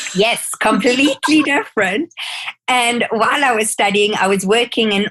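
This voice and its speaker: Speaking with a South African accent, a woman uses lively intonation. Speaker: skincare educator and life coach. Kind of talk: podcast interview.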